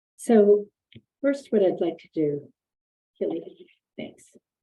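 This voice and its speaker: This woman is soft-spoken. Her tone is dark and mellow. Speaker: architect. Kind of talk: webinar presentation. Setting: video call from office.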